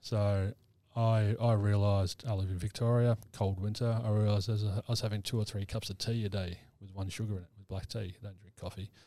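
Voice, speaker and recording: A man with an Australian accent speaks at a fairly quick pace in a fairly low, dark, mellow voice with monotone, flat intonation. His loudness swings widely on a very clean recording with a silent background. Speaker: mental health practitioner and army veteran. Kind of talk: casual interview chat. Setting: studio.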